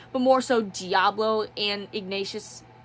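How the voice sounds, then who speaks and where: The voice belongs to a woman and sits fairly high. Noticeable background noise is present. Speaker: book reviewer. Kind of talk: casual review monologue; voiceover narration.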